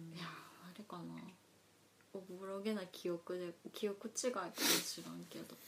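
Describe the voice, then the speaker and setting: Speaking fairly slowly in a normal speaking voice, a woman keeps a medium pitch and fairly even intonation while her loudness swings widely. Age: 40s. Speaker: podcast co-host. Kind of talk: casual chat; news reading.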